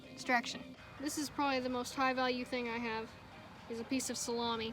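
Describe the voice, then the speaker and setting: Music plays behind a woman with a high voice. She talks at a fairly quick pace in a monotone, flat intonation. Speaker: dog trainer. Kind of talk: casual talk to camera.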